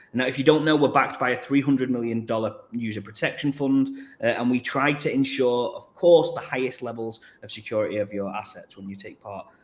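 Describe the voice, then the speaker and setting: A man with an English accent talks at a fairly quick pace, with ordinary pitch variation and big swings in loudness. Noticeable background noise is present. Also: medium pitch for a man. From England. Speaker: crypto company marketing executive. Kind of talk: livestream panel interview.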